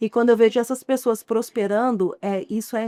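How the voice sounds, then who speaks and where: With a Goiás accent, the speaker talks at a fairly quick pace in a dark, mellow tone with fairly even intonation. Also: woman. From Goiás, Brazil (outskirts of Goiânia). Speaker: chef and entrepreneur. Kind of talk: interview.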